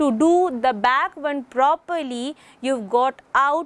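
Her high-pitched voice has lively intonation, and the sound is dry with no echo. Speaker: English teacher. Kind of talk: lecture. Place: studio.

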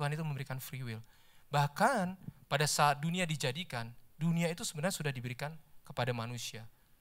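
A man speaks at a very fast pace with fairly high pitch and ordinary pitch variation. The background is quiet. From Indonesia. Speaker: lay preacher, office employee; lay preacher. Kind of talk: sermon. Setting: church service. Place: church. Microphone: handheld.

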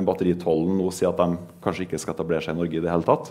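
The tone is dark and mellow. Intonation stays flat and monotone. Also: man. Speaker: politician. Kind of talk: panel discussion. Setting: stage with audience. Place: hall.

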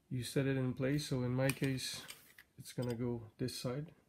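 A man's voice over noticeable background noise. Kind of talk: tutorial. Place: home room. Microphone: phone near.

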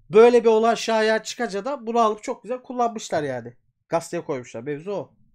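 Against a quiet background, a man with a high pitch speaks in an animated tone at a fairly quick pace, with ordinary pitch variation. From Turkey. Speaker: YouTube storyteller and folklore streamer; YouTube storyteller, folklore streamer. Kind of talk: casual live stream chat with reading aloud; casual live stream talk. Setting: live stream from home. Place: home room. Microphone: earbuds.

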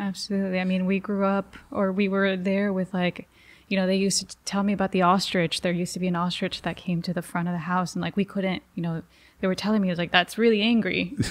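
A woman with a Spanish accent talks very fast in a monotone, flat intonation. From Jalisco, Mexico. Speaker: journalist; reporter guest. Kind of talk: interview. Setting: studio. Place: studio. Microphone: studio mic.

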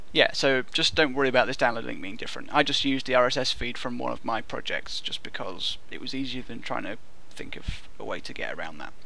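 A man talks at a fairly quick pace with hardly any pauses, over light background noise in a dry sound with no echo. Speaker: programming tutorial narrator. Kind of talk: tutorial.

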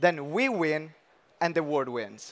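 Pitch varies in an ordinary way as a man talks. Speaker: session host. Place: stage. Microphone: headset.

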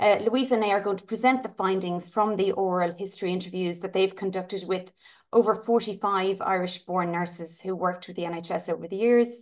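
With an ordinary speaking voice, a woman talks at a fairly quick pace in a medium pitch. Her intonation is fairly even, and the background is quiet. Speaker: charity trustee and event moderator. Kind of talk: event moderation. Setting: video call. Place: home room. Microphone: webcam.

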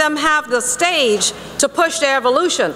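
A woman's raised, projected voice, high-pitched, at a moderate pace over light background noise. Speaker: politician, Florida lieutenant governor. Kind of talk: fiery religious speech to an audience. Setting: conference hall speech to a live audience. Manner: passionate, preaching. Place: hall. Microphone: podium.

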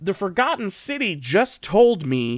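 Pitch swings very widely at a fairly slow pace over a quiet background. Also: man. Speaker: game streamer. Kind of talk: casual gameplay commentary. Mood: musing, wry humor. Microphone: studio mic.

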